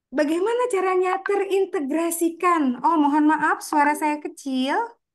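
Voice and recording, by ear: At a moderate pace, a woman speaks with an extremely high pitch and ordinary pitch variation.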